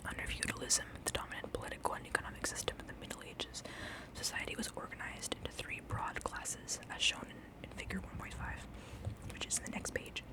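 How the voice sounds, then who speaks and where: A woman whispering at a very fast pace over noticeable background noise. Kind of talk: whispered ASMR book reading. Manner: whispered, soft.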